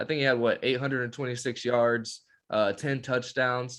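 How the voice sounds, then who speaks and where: A man speaks at medium pitch against a quiet background. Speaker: sports podcast co-host. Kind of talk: casual chat. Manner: animated.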